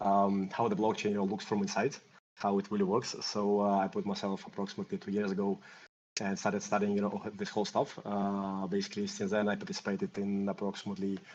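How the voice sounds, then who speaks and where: A man's fairly low voice with a Russian accent, very fast and monotone, flat in intonation. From Russia and Greece. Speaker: mix node operator. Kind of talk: interview. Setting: online community call. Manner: halting with many fillers.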